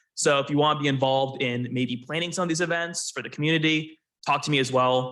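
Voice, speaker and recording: Loud and very fast, a man speaks with a fairly high pitch and a bright, sharp tone. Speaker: college esports team lead. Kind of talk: presentation at club meeting.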